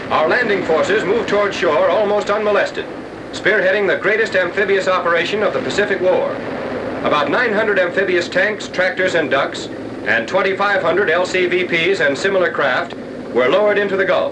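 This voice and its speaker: A man's high-pitched voice with ordinary pitch variation, fairly quick pace and very even loudness, over noticeable background noise. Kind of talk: wartime newsreel narration.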